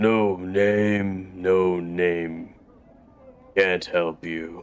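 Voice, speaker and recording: A man uses a put-on character voice pitched very deep and low. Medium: actual play. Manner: repetitive.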